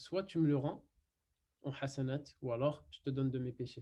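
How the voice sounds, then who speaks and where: A dark, mellow tone at a fairly slow pace. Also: man. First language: not French (speaking French). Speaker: Quran and Arabic teacher. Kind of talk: online lesson. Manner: halting, many fillers.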